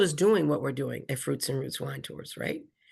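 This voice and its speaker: A woman speaks with an American accent in an animated tone. The background is quiet. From Philadelphia. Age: 60s. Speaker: wine tour business owner. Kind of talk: interview.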